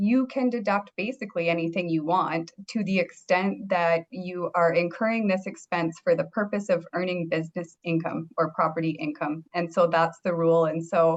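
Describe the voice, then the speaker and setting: This woman has a Canadian accent and a fairly low pitch, with ordinary pitch variation. She talks at a moderate pace with hardly any pauses. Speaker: accountant. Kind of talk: webinar presentation.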